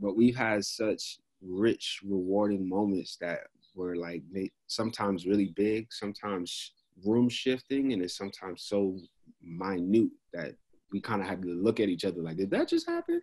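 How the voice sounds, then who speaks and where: A man with a New York accent talks at a moderate pace in a fairly low pitch. His intonation stays fairly even against a quiet background. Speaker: podcast co-host. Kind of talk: casual interview chat. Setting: video call. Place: home room. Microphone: video call.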